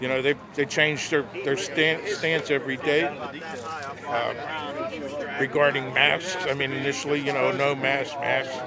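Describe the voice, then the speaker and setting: A man talks at a moderate pace in an American accent. Noticeable background noise runs under the recording. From western Pennsylvania, Pittsburgh area. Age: 60s. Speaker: rally attendee, union member. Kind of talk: street interview.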